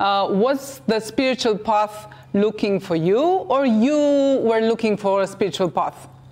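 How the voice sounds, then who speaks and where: At a fairly slow pace, a woman with a Romanian accent speaks in a fairly high voice with ordinary pitch variation. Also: very even loudness. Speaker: TV talk show host. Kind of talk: interview. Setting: TV studio.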